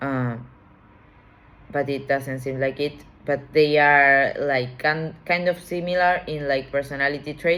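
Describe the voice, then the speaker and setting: Speaking with a non-native accent, a woman uses a very deep, low pitch, a fairly slow pace and fairly even intonation. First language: not English. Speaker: tarot reader. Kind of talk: tarot reading. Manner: halting.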